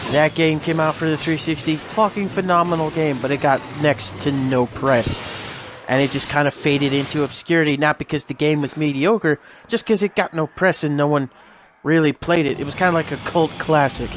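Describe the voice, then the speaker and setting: A man's fairly high voice, fairly quick, with fairly even intonation over noticeable background noise. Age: 20s. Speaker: gaming YouTuber. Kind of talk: casual gameplay commentary. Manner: casual, rambling.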